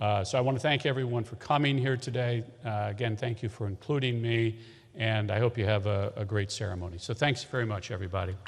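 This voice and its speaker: Somewhat breathy, a man's medium-pitched voice races at a very fast pace with ordinary pitch variation on a very clean recording with a silent background. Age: 60s. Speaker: politician. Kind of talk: ceremony speech. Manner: halting, many fillers.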